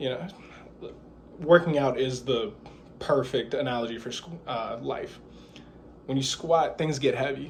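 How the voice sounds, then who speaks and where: A man at a fairly slow pace with long, frequent pauses, a fairly high pitch, ordinary pitch variation and audible room echo. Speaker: student giving a class speech. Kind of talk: persuasive speech. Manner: halting, some stumbles.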